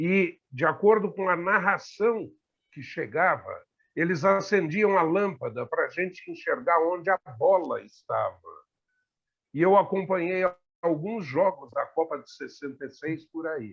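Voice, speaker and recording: A high-pitched man at a fairly slow pace, with big swings in loudness. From Brazil, São Paulo. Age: 60s. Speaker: talk show panelist. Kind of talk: casual discussion.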